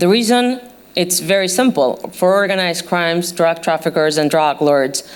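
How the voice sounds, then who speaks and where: A woman with a fairly low pitch speaks at a moderate pace with a non-native accent. Noticeable background noise is present. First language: not English. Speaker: journalist. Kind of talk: panel talk. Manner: hesitant, many fillers.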